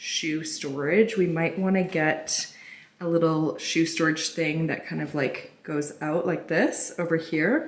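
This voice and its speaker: A woman with a Canadian accent speaks at a fairly low pitch, with noticeable background noise and audible room echo. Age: 30s. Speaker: lifestyle vlogger. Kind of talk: vlog house tour. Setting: indoors, empty house. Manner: casual, chatty.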